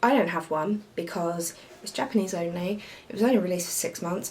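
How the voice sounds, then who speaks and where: Over noticeable background noise, a woman with a British accent speaks at a fairly slow pace in a medium pitch with fairly even intonation. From United Kingdom. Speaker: retro gaming YouTuber. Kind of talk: casual show-and-tell video. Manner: halting, many fillers.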